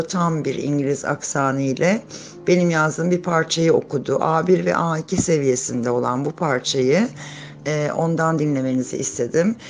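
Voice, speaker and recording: Fairly quick speech with a Turkish accent and ordinary pitch variation, amid noticeable background noise. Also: woman, very deep, low pitch for a woman. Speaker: English teacher. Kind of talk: lesson introduction to camera.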